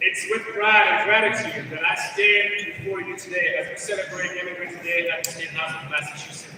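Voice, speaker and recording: A man projects a raised, high-pitched voice at a moderate pace with lively intonation. The room echoes audibly, and background noise is noticeable. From Gabon. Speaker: political director and event MC. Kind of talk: ceremonial speech. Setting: stage with audience at the state house. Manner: formal.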